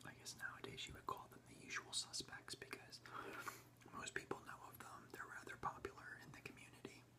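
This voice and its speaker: A man whispers at a fairly quick pace, with big swings in loudness and noticeable background noise. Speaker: ASMR creator. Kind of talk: ASMR rambling talk. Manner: whispered, soft-spoken.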